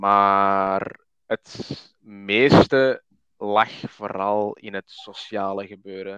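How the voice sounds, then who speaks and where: In a Flemish accent, a man speaks with a fairly low pitch, a bright, sharp tone and monotone, flat intonation, the sound dry and close with no echo. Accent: Flemish (Belgian Dutch). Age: 20s. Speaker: podcaster talking about his anxiety. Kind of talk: casual chat. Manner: halting, many fillers.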